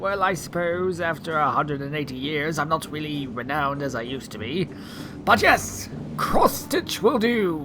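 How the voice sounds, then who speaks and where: Over loud background noise, a put-on character voice at a middle pitch moves at a moderate pace. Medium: audio drama. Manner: flamboyant, fussy.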